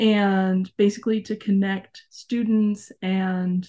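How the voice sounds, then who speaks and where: Somewhat breathy and dark, mellow in tone, the voice carries an American accent over a quiet background. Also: woman. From Arizona. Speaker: former youth program member and camp staff. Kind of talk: interview.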